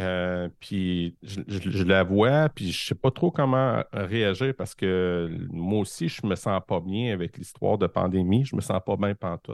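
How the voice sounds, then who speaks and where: A very deep, low-pitched man's voice with a Quebec accent, very slow in pace with hardly any pauses and ordinary pitch variation. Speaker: primary school teacher. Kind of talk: casual interview conversation. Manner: halting, many repetitions.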